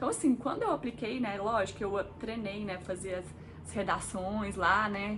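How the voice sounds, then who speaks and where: Medium-pitched female speech at a moderate pace, ordinary pitch variation, and noticeable background noise. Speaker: engineer and vlogger. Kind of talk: casual vlog talk to camera. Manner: chatty, conversational with fillers.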